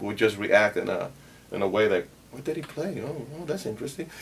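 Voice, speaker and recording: A man with a Puerto Rican accent. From Puerto Rico. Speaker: bass player. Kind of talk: interview. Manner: halting.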